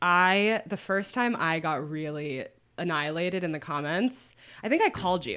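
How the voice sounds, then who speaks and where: A woman with an unremarkable speaking voice, fairly low-pitched, with lively intonation at a moderate pace, in a very clean recording with a silent background. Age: 20s. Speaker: anonymous internet writer. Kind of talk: casual chat.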